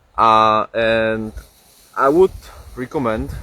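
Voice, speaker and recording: Speaking very slowly with a Czech accent, a man is heard over noticeable background noise. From Czech Republic. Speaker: streamer. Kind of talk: casual live stream chat. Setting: outdoors. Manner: halting, many fillers.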